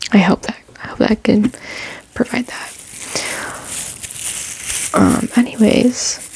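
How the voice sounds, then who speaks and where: The speaker is soft-spoken with a relaxed tone, talking at a fairly slow pace. Long, frequent pauses break up the speech over noticeable background noise. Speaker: ASMR creator with chronic illness. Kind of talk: casual ASMR talk to camera. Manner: soft-spoken, relaxed.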